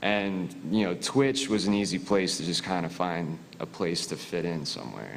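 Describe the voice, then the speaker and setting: A man with a Philadelphia accent speaks at a very deep, low pitch with ordinary pitch variation. His pace is moderate, with hardly any pauses. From US Northeast (Philadelphia). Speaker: military veteran, audience questioner. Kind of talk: audience question at panel.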